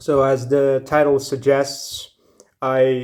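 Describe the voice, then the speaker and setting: A man with a Ukrainian accent speaks at a very slow pace. His medium-pitched voice is monotone and flat. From Ukraine. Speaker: YouTube commentator. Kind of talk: opinion monologue. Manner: hesitant, many fillers.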